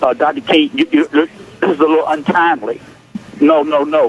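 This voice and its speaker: A man with a fairly high pitch and ordinary pitch variation speaks at a fairly quick pace, noticeable background noise behind him. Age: 60s. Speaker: caller, pastor. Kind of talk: impassioned call-in comment. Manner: halting, repeating words.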